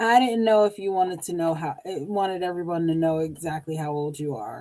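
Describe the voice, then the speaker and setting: A woman with a dark, mellow tone and a fairly low pitch. She speaks at a fairly quick pace. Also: ordinary pitch variation. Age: 40s. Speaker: podcast co-host. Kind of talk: casual chat. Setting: live stream. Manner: animated.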